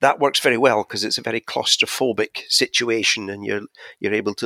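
The man's fairly low voice comes through with a dry, close sound and no echo. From Scotland. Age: 60s. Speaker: podcast guest, tech enthusiast. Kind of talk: casual chat.

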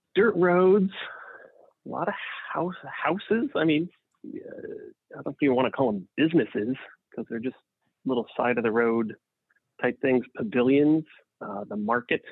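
A man with a fairly high pitch talks at a moderate pace, his pitch swinging very widely and his loudness rising and falling sharply, with long, frequent pauses. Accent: American. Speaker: family member recalling childhood. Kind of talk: casual chat.

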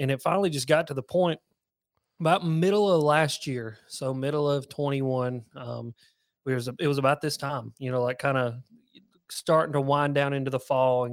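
Moderate-paced speech with a Southern US accent and fairly even intonation. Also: man, medium pitch for a man. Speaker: fishing YouTuber. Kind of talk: casual interview chat.

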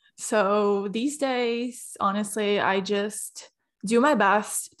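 A woman speaks with a Portuguese accent at a medium pitch and ordinary pitch variation. The recording is very clean, with a silent background. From Brazil. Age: 20s. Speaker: podcaster. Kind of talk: casual chat.

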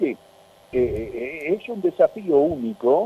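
A man speaks at a very slow pace. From Tucumán, Argentina. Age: 70s. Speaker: veteran radio announcer. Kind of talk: radio interview.

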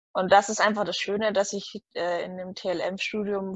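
A woman speaks at a medium pitch and a fairly slow pace. Her intonation is flat and monotone. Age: 20s. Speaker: student. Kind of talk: interview.

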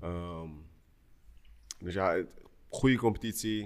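Speaking at a very slow pace, a man with a very deep, low pitch shows ordinary pitch variation. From Netherlands, Amsterdam Zuidoost. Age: 30s. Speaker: professional basketball player. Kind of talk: casual chat.

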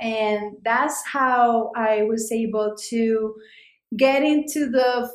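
A woman with a Spanish accent, fairly high in pitch, her intonation fairly even. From Colombia, Cali. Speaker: immigrant sharing life story. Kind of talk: interview. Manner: halting, many repetitions.

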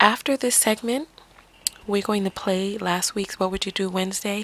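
A woman with an American accent, medium pitch and ordinary pitch variation, against noticeable background noise. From the Bronx, New York. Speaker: podcast host and life coach. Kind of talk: solo podcast monologue. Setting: RV, off the grid.

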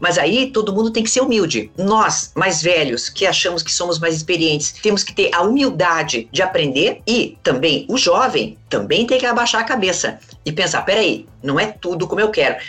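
A woman talks at a moderate pace with a medium pitch. Her pitch swings very widely, and music plays behind her. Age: 50s. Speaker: psychologist. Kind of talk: interview.

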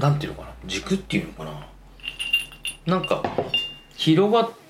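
Music plays in the background as a man talks at a moderate pace with audible room echo. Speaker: podcast host discussing films. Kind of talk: casual chat.

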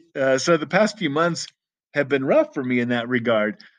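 An American-accented man talks in a normal speaking voice at medium pitch. His intonation is lively, and the background is quiet. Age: 40s. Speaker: podcast host. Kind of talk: personal monologue. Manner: casual, frequent fillers.

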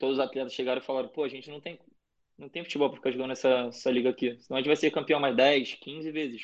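The voice races at a very fast pace with big swings in loudness but monotone, flat intonation. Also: man, medium pitch for a man. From Brazil, Rio de Janeiro. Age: 20s. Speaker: college soccer player. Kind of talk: casual interview.

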